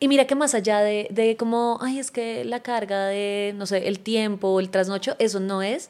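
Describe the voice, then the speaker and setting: A woman speaks in a normal speaking voice at a fairly high pitch with ordinary pitch variation. She keeps a moderate pace with hardly any pauses. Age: 30s. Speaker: podcast host. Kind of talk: casual interview chat.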